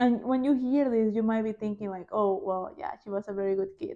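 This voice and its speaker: The woman's tone is dark and mellow, with ordinary pitch variation. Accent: Spanish. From Panama. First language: Spanish. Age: 20s. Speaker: podcast host. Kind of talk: casual chat; testimony. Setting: home living room.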